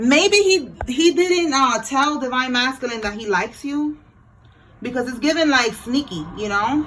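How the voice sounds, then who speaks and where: A woman's high-pitched, animated voice with lively intonation at a fairly slow pace, over noticeable background noise. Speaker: tarot reader. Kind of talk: tarot reading monologue.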